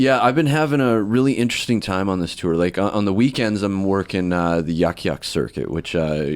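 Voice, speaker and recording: A man speaks with a western Canadian accent in a very deep, low pitch. His pace is moderate and his intonation lively. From western Canada (Alberta, British Columbia). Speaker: comedian. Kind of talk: casual podcast interview.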